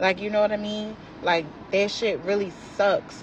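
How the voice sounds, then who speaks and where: A woman with a fairly high pitch is heard against noticeable background noise. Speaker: social media poster. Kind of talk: rant. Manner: loud; animated.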